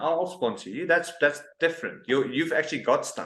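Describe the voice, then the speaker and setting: At a moderate pace, a man speaks in a high voice with a South African accent. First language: Afrikaans. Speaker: interviewer, expat community app founder. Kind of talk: casual interview.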